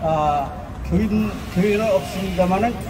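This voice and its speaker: Noticeable background noise runs under speech delivered at a very slow pace. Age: 80s+. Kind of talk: protest rally speech. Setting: outdoors at cathedral entrance rally. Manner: impassioned, rhetorical questions; halting, self-correcting.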